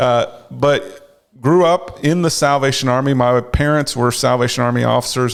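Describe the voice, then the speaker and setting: A man with a slight North Carolina accent at a moderate pace. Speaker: clergy charity officer. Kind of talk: interview.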